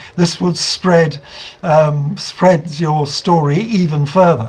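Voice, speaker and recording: A man with a British accent speaks at a high pitch. His pace is fairly slow. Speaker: investigative journalist. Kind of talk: online talk to campaign group. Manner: halting, many fillers.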